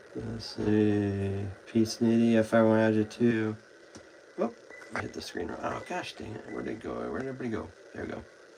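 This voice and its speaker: A man's fairly low voice with big swings in loudness, over noticeable background noise. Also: ordinary pitch variation, moderate pace. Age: 20s. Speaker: livestreamer with chronic illness. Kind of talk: casual chat. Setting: live stream at home. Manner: halting.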